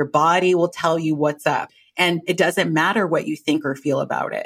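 A woman with an American accent speaks in an unremarkable speaking voice at a moderate pace. Her intonation stays fairly even, and the recording is very clean with a silent background. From US West Coast (Los Angeles). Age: 30s. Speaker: mindfulness teacher. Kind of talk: casual interview. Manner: laughs often.

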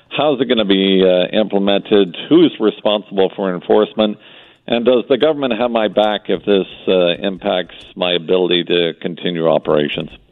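Speaking at a moderate pace with ordinary pitch variation, this is an unremarkable speaking voice with a Canadian accent. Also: man, fairly low pitch for a man. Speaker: business chamber executive. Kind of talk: radio interview.

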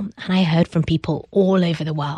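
A woman with a British accent speaks with a dark, mellow, somewhat breathy tone at a fairly low pitch. Her intonation is fairly even, and the sound is dry and close with no echo. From UK. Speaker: startup founder. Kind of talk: interview conversation.

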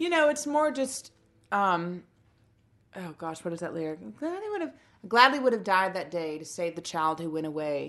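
At a moderate pace, a woman of medium pitch talks with very wide pitch swings and big swings in loudness. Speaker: singer-songwriter. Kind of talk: casual interview chat.

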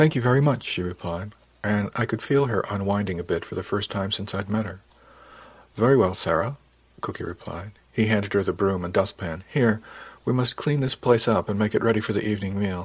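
A man's unremarkable speaking voice, fairly low in pitch with ordinary pitch variation, at a fairly quick pace on a very clean recording with a silent background. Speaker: audiobook narrator. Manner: measured, storytelling pace, with light expressive shifts for dialogue.

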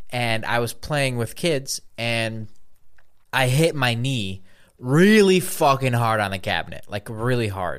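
This is an unremarkable speaking voice from a man at medium pitch. He talks at a moderate pace with lively intonation. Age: 20s. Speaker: podcast co-host. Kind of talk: casual chat.

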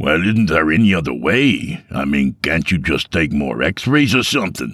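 Using a put-on character voice, a man sounds raspy and very deep and low, with very wide pitch swings at a moderate pace. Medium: audio drama. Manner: crude, blunt.

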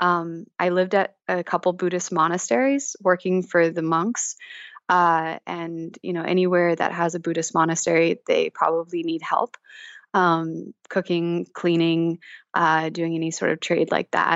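In an American accent, a woman with an ordinary speaking voice talks slowly-ish at a fairly low pitch, her intonation fairly even. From Kansas. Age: 20s. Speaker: emotional intelligence educator. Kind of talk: casual chat. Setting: phone call.

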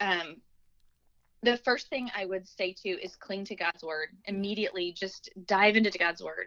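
A woman talks in a plain, everyday voice at a moderate pace with ordinary pitch variation. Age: 40s. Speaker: physician assistant, cancer survivor. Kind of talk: testimony.

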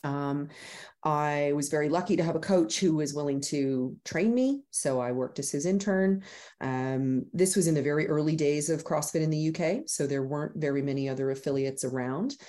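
The tone is dark and mellow. The pace is moderate. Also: woman, very deep, low pitch for a woman, ordinary pitch variation. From Canada. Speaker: gym owner. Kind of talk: interview.

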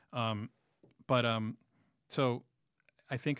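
On a very clean recording with a silent background, a man speaks in a New York accent with monotone, flat intonation. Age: 40s. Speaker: music writer and musician. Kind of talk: casual interview.

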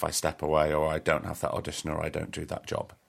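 A man with a Lancashire accent at a moderate pace, on a very clean recording with a silent background. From northern England, Blackpool. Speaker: podcast host and actor. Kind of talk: casual chat.

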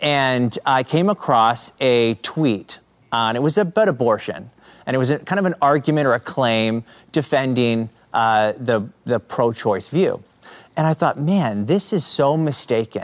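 A man with an unremarkable speaking voice and a Canadian accent talks at a medium pitch, his intonation lively and his loudness very even. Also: fairly slow pace. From Canada. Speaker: apologetics speaker and YouTube creator. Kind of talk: casual interview chat.

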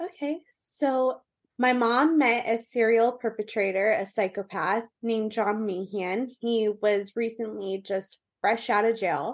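At a fairly slow pace, a woman speaks with a fairly high pitch and ordinary pitch variation against a quiet background. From US, Orange County, California. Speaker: domestic abuse survivor and advocate. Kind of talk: interview testimony.

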